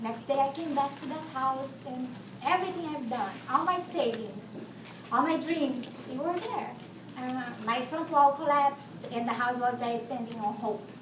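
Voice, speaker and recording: A woman speaks with a Brazilian Portuguese accent at a high pitch, with ordinary pitch variation and a moderate pace. Noticeable background noise and audible room echo fill the recording. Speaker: contestant. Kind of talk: testimony. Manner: halting.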